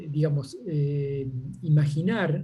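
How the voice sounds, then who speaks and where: A man's dark, mellow, somewhat breathy voice with audible room echo. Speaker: seminar participant. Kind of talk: Q&A discussion. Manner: halting, many fillers.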